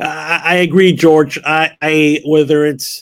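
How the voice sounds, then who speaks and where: Here a man speaks with a fairly high pitch. His intonation is monotone and flat. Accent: Spanish. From Miami, Florida. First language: Spanish. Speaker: university executive. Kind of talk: interview. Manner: halting, many fillers.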